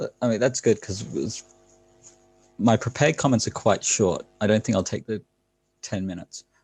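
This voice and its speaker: With vocal fry and a fairly low pitch, a man speaks at a moderate pace with ordinary pitch variation and long, frequent pauses, in a dry, close sound with no echo. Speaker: academic commentator. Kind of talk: casual chat. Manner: quiet.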